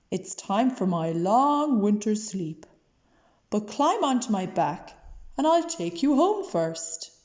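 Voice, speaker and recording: A woman uses a put-on character voice with a gentle tone at a fairly slow pace. Her pitch is medium. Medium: read story. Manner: gentle, drowsy.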